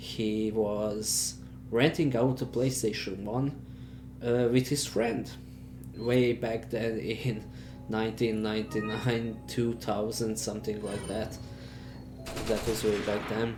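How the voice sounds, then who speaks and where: Over music in the background and audible room echo, a man with a fairly low pitch and ordinary pitch variation speaks at a very slow pace with long, frequent pauses. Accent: Serbian. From Serbia. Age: 30s. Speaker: gaming youtuber. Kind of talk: casual monologue. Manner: hesitant, many fillers.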